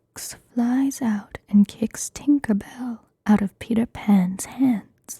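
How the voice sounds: A natural reading voice comes through with a quiet background.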